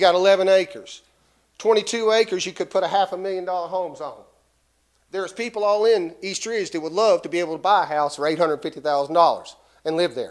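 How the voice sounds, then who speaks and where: At a very fast pace and with ordinary pitch variation, the voice comes through on a very clean recording with a silent background. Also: man, high pitch for a man. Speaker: local resident speaking at public hearing. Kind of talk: public comment at city meeting.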